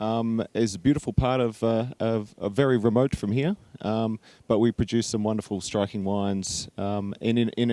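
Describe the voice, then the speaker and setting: A man's dark, mellow tone in a New Zealand accent, fairly even intonation, dry, close sound with no echo, and a very clean recording with a silent background. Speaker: winery technical director. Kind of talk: panel discussion. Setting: stage with audience. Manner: halting, many fillers.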